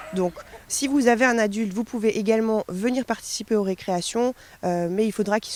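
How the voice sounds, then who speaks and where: A woman speaks at a medium pitch with ordinary pitch variation. Noticeable background noise runs underneath. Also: dry, close sound with no echo. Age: 20s. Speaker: dog behaviourist and trainer. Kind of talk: interview monologue. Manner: hesitant, many fillers.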